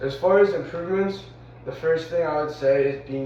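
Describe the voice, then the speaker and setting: A man speaks with fairly even intonation. Room echo is audible, and background noise is noticeable. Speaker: physical education student teacher. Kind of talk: reflective monologue.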